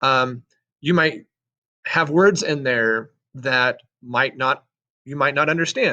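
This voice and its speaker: At a very slow pace with long, frequent pauses, a man with an American accent speaks in a bright, sharp tone, his fairly high pitch showing ordinary variation. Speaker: sixth grade social studies teacher. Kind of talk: recorded assignment walkthrough for students.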